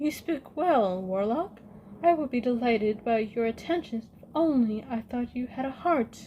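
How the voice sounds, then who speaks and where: The speaker puts on a character voice. The delivery has a moderate pace. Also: woman, high pitch for a woman. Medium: read story.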